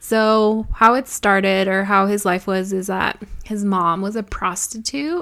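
At a fairly slow pace, a woman speaks with a medium pitch, a bright, sharp tone and fairly even intonation. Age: 20s. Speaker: podcast co-host. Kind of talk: casual chat.

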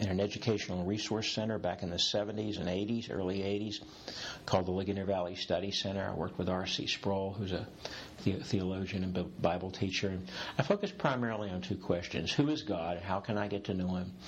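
A man talks in a plain, everyday voice at a fairly low pitch. His pace is fairly quick and his intonation fairly even. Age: 60s. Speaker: executive coach. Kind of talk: interview conversation. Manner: humorous, playful.

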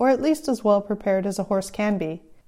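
In a Californian accent, a woman speaks at a fairly quick pace in a dark, mellow tone on a very clean recording with a silent background. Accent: Californian American. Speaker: podcast host and horseback traveler. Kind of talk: storytelling, reading aloud from her own short stories.

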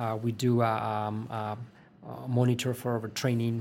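A man talks at a medium pitch. He speaks with a Spanish accent. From Spain. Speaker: sports physiologist. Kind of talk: interview. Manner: hesitant, many fillers and repetitions.

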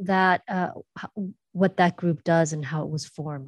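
Against a quiet background, a woman with a plain, everyday voice speaks at a moderate pace and medium pitch. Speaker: podcast host. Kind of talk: interview.

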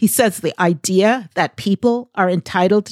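A plain, everyday voice from a woman with an American accent, medium-pitched with ordinary pitch variation, at a moderate pace, on a very clean recording with a silent background and a dry, close sound with no echo. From US Northeast, Boston area. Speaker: podcast host, former HR recruiter. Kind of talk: scripted monologue.

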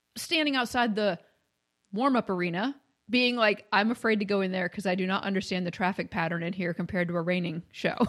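A woman with an American accent has an unremarkable speaking voice at medium pitch with ordinary pitch variation. The background is quiet. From Maine, US. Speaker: horse trainer. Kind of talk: casual chat.

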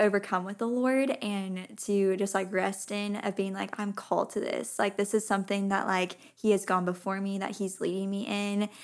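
A woman speaks in a normal speaking voice with fairly even intonation. The recording is very clean, with a silent background. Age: 20s. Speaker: fashion model and podcaster. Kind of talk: casual interview chat.

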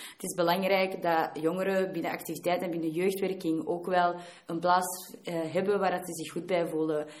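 Audible room echo surrounds a woman speaking in a fairly low pitch with monotone, flat intonation. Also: moderate pace. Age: 20s. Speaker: student and youth work volunteer. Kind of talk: keynote talk.

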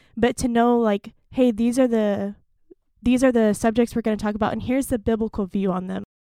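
With an American accent, a woman talks at a fairly quick pace in a fairly high pitch, her dark, mellow tone and monotone, flat intonation captured in a dry, close sound with no echo. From Stillwater, Oklahoma. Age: 20s. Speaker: youth pastor. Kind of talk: podcast interview.

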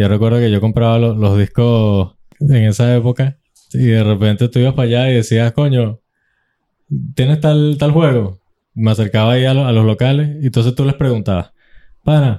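With a Venezuelan accent, a man speaks at a medium pitch and a moderate pace, his pitch varying in an ordinary way and his loudness very even. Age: 20s. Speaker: podcast host. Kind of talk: casual chat.

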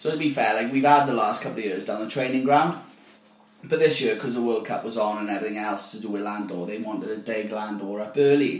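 A man's medium-pitched voice in a South Wales accent, very fast, with ordinary pitch variation and noticeable background noise. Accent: South Wales (Valleys). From South Wales valleys, near Llantrisant. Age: 30s. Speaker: football league secretary. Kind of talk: casual chat.

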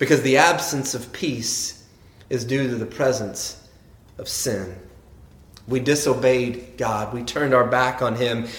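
The man's somewhat breathy delivery unfolds at a fairly slow pace. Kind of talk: joke-telling in a sermon, told as a deadpan anecdote with quoted dialogue.

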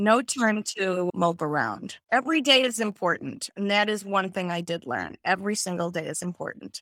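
A woman with a medium pitch speaks at a moderate pace with hardly any pauses. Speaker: cancer survivor and ballet teacher. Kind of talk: casual interview. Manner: animated.

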